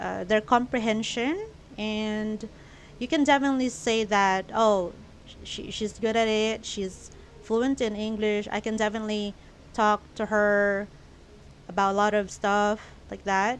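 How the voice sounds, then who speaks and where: A woman speaks with a Filipino accent at a fairly high pitch. Her pace is fairly slow and her intonation fairly even. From Philippines. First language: Filipino language. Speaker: YouTuber. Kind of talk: vlog monologue. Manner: casual, hesitant with fillers.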